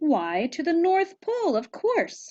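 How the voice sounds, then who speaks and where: A woman puts on a character voice pitched extremely high. She speaks at a fairly slow pace. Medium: read story.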